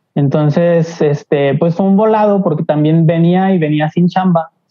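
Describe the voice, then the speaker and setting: A woman's plain, everyday voice, fairly low-pitched, at a moderate pace with fairly even intonation. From Mexico, Aguascalientes. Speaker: graphic designer. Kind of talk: casual chat.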